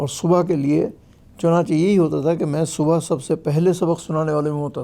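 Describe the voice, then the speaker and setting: With a dark, mellow tone, a man speaks at a fairly high pitch and fairly even intonation. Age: 70s. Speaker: Quran reciter and teacher. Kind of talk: interview about life story.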